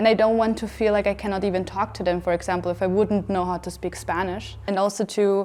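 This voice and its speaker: Her pitch medium, a woman talks at a very fast pace with monotone, flat intonation. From Austria (Vienna). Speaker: filmmaker and show writer. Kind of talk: talk show discussion.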